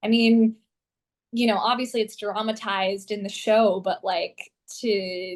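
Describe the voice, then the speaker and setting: With an American accent and an ordinary speaking voice, a woman talks at a fairly slow pace in a fairly high pitch with fairly even intonation. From Southern California. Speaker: actress, vocalist, voice actor. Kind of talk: interview answer.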